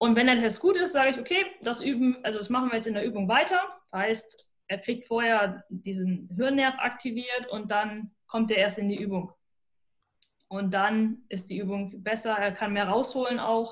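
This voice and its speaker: Somewhat breathy, a woman speaks at a moderate pace. Her pitch is fairly high, with ordinary variation. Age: 20s. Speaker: sports scientist and neuroathletics trainer. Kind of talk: podcast interview.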